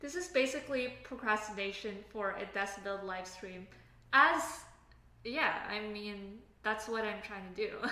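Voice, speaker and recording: A woman's fairly high-pitched voice at a fairly slow pace, with big swings in loudness, audible room echo and noticeable background noise. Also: ordinary pitch variation. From Canada. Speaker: software engineer live streamer. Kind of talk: casual live stream chat. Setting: live stream at home desk. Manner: casual, halting with fillers.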